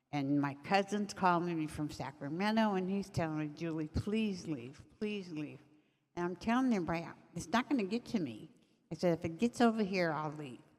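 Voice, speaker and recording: A woman in a plain, everyday voice, fairly low in pitch, at a fairly quick pace with lively intonation. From California, Altadena. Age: 60s. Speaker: community organizer and fire survivor. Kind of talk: testimony.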